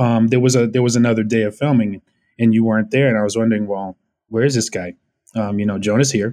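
Against a quiet background, a man with an American accent talks very fast in a dark, mellow tone. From Orange County, California. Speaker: actor and film extra. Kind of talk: casual chat.

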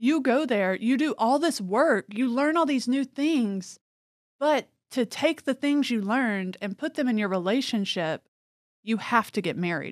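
In a very clean recording with a silent background and a dry, close sound with no echo, a woman speaks fairly slowly in a high pitch with lively intonation. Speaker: podcast host. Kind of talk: casual chat.

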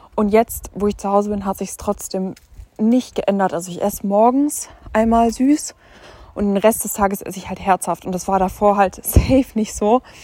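A woman speaks at a moderate pace, her pitch medium with ordinary variation. Her loudness swings widely. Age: 20s. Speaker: podcaster. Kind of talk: casual chat. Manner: animated.

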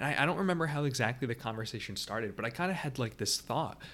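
This man's tone is bright and sharp. His pitch varies in an ordinary way. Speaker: teaching podcaster. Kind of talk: solo monologue podcast. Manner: fast talker; filler words, halting.

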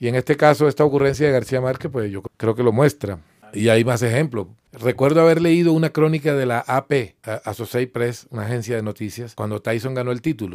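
A man's normal speaking voice, medium in pitch with ordinary pitch variation, at a fairly quick pace, in a dry, close sound with no echo. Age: 50s. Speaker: journalist and writer. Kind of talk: interview.

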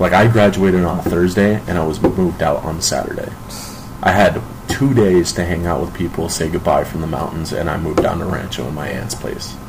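A man with a very deep, low pitch talks at a fairly quick pace with ordinary pitch variation. The recording has audible room echo and noticeable background noise. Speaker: amateur rapper. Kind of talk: casual chat. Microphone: poor recording quality.

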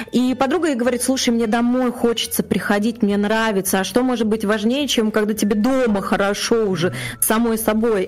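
There is noticeable background noise as a woman talks at a fairly quick pace and fairly high pitch, her loudness very even. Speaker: podcast co-host. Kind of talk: casual interview. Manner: emotional, animated.

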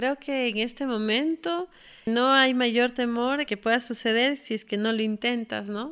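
On a very clean recording with a silent background, a woman with a high pitch speaks at a fairly slow pace in a highland Ecuadorian accent. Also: ordinary pitch variation. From Ecuador, Quito. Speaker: hiking guide and tour operator. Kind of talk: personal testimony. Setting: at home.

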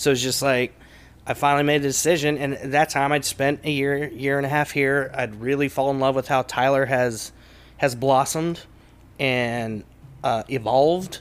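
With an American accent, a man has an unremarkable speaking voice. His pitch is fairly high and his pace moderate. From East Texas (Kilgore). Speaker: comedy club owner, former country singer. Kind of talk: casual interview.

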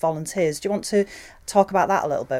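A woman speaks with a northern English accent in a dark, mellow tone and ordinary pitch variation. The recording is very clean, with a silent background. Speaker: podcast presenter and museums director. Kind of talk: interview presenting, guided walk-in intro. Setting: on location, walking into a library.

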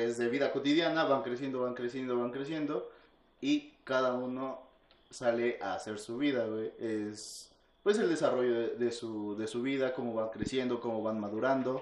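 A man with a Mexican accent speaks at a fairly slow pace and a medium pitch, with ordinary pitch variation. Room echo is audible. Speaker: podcast co-host. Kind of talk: casual chat.

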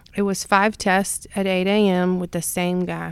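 Recorded very cleanly against a silent background, a woman with an American accent speaks at a medium pitch and fairly slow pace in a flat, monotone way. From North Carolina. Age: 30s. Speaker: childcare worker. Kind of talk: casual chat. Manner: halting, many filler ums.

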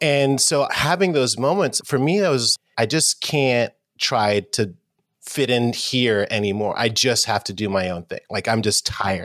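A man with an American accent and an unremarkable speaking voice, medium pitch, lively intonation and a fairly slow pace, dry and close with no echo. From New York City, Harlem. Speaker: audio tech company founder. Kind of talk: casual chat.

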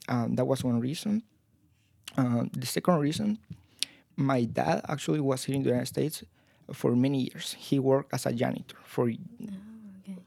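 Speaking at a moderate pace, a man talks with a Spanish accent. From Guatemala. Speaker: university student. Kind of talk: casual interview.

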